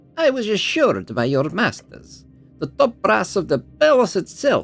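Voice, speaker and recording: A shrill, put-on character voice at a middle pitch moves at a moderate pace, with faint music in the background. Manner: smirking, threatening, imperious.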